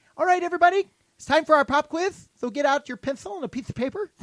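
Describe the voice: A loud, put-on character voice from a man, extremely high-pitched, at a very fast pace.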